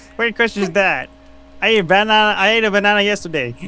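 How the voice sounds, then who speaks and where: The voice is raised and projected. It belongs to a man. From Philippines. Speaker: fan artist. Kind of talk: casual interview. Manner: halting.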